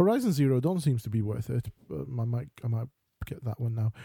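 Dry and close with no echo, a man's somewhat breathy voice has a dark, mellow tone, lively intonation and a fairly quick pace. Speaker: podcast co-host. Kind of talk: casual banter chat.

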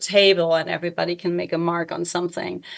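A woman speaks with a German accent at a fairly low pitch. Her intonation stays fairly even. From Germany. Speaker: artist and educator. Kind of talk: interview, casual conversation. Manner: halting, self-correcting.

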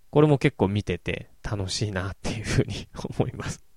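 A man speaks at a moderate pace. His tone is relaxed, dark and mellow. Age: 30s. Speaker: podcast host reviewing anime and films. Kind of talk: casual solo monologue. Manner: relaxed, with many fillers.

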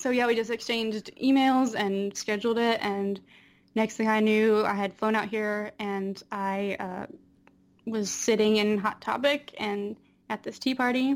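A woman with an American accent and an unremarkable speaking voice, fairly high in pitch, at a fairly slow pace with fairly even intonation, in a very clean recording with a silent background. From North Carolina, near Raleigh. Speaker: cosplayer and graphic designer. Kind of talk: casual chat.

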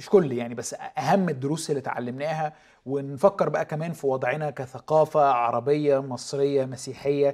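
The clip features an ordinary speaking voice. It moves at a moderate pace. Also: man. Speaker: TV show host. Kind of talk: interview.

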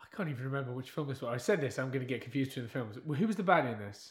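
A man speaks at a very fast pace with lively intonation. His medium-pitched voice is somewhat breathy. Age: young. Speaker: podcast co-host reviewing movies. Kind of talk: casual chat.

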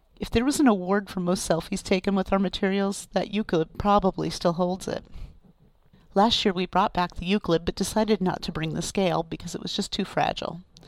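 This woman has a plain, everyday voice at a medium pitch. She talks at a fairly quick pace with fairly even intonation. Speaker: archivist podcast host. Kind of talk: scripted podcast narration.

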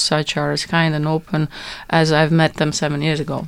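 With a Latvian accent, a woman speaks in a very deep, low pitch at a moderate pace, her intonation monotone and flat. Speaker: translator. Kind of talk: casual chat. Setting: studio.

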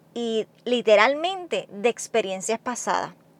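High female voice with lively intonation at a very slow pace, in a dry, close sound with no echo. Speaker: nurse and podcast host. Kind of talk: solo motivational monologue. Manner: talkative, conversational.

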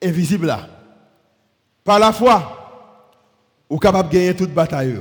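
A man with a high pitch and ordinary pitch variation speaks at a very slow pace. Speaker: pastor. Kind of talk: sermon.

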